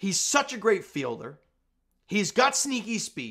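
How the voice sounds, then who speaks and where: The background stays quiet. His pace as a man speaking is moderate. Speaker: sports fan channel host. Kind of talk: casual sports commentary vlog. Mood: upbeat after team win. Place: home room. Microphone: webcam.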